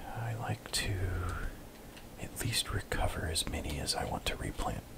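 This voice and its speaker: Relaxed whispering over noticeable background noise. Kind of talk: ASMR gameplay commentary. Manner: soft-spoken, relaxed.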